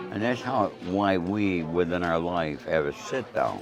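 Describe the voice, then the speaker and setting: Over music in the background, a man with a New York accent speaks at a moderate pace in a very deep, low pitch with lively intonation. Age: 70s. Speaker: author and former mobster. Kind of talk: casual interview. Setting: restaurant dinner.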